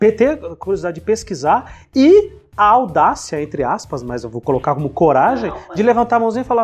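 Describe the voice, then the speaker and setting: A high-pitched man talks fairly quickly, his pitch swinging very widely. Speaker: teacher and podcast host. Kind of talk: casual interview chat.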